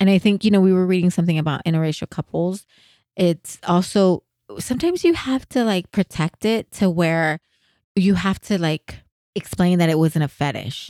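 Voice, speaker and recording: Speaking at a moderate pace, a woman has a medium pitch and a dark, mellow tone. The recording is very clean, with a silent background and a dry, close sound with no echo. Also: ordinary pitch variation. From US, San Jose, California. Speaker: podcast host. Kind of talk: casual chat.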